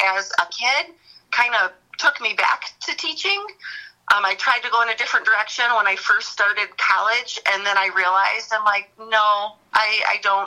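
Here is an ordinary speaking voice at a moderate pace. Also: woman. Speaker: elementary school teacher. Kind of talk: casual chat.

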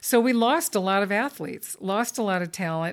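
A woman with a Southern California accent uses ordinary pitch variation in a very clean recording with a silent background. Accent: General American (Southern California). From Los Angeles County, California. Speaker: Olympic rower and athlete-rights advocate. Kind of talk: interview conversation.

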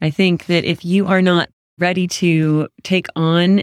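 In a plain, everyday voice with an American accent, a woman speaks at a fairly low pitch with fairly even intonation, in a dry, close sound with no echo. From California. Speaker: marriage and family therapist, co-host. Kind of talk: casual chat.

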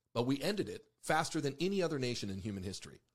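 Talking at a very fast pace with an American accent, a man with a fairly high pitch uses very wide pitch swings and vocal fry. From Mexico and Ecuador (American missionary family). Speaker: podcast host, army veteran and former deputy. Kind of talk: casual political talk.

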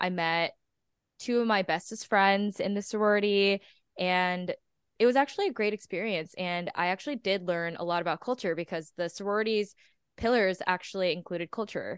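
A woman with an unremarkable speaking voice talks at a fairly quick pace in a medium pitch with ordinary pitch variation, the sound dry and close with no echo over a quiet background. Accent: American. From Texas. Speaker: podcast co-host. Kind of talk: casual interview chat. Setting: video call.

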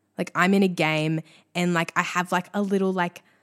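At a moderate pace, a woman with a fairly low pitch speaks in an animated tone, the sound dry and close with no echo. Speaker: solo podcaster. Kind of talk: casual monologue. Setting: bedroom.

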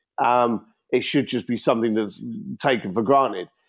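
A man speaks with an East London accent. The background is quiet. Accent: East London (Cockney-tinged) English. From East London, England. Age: 50s. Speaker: entrepreneur and author. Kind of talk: podcast interview.

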